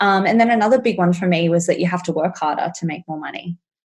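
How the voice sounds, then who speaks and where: The speaker talks at a very fast pace in an Australian accent. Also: woman. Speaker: money mindset coach. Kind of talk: podcast interview.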